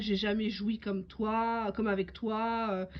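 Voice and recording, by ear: Fairly high in pitch, a woman talks at a fairly slow pace with fairly even intonation.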